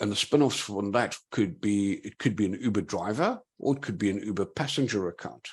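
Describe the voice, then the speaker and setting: A man with a South African accent talks at a fairly quick pace with hardly any pauses. His fairly low pitch shows ordinary variation on a very clean recording with a silent background. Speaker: digital forensics investigator. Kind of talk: conference talk.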